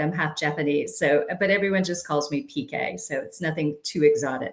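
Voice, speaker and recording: A woman with an unremarkable speaking voice talks in an American accent. Her pitch is fairly low and her pace moderate. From United States. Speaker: sustainability trainer. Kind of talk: webinar presentation.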